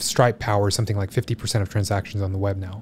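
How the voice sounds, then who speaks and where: A man speaks in a fairly low, somewhat breathy voice with flat, monotone intonation. Light background noise sits behind him. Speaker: podcast guest. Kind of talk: interview answer. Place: studio. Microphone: studio mic.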